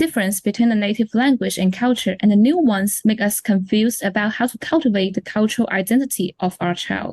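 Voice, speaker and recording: A woman with a Chinese accent speaks fairly quickly with hardly any pauses, at a fairly high pitch and ordinary pitch variation. Her voice is somewhat breathy, and the sound is dry and close with no echo. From China. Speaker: parent. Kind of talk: scripted interview.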